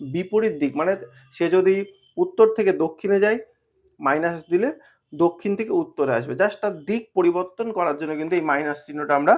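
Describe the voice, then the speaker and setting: A man with a high voice speaks with ordinary pitch variation. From West Bengal, India. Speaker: exam prep tutor. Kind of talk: tutorial. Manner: halting, many pauses and fillers.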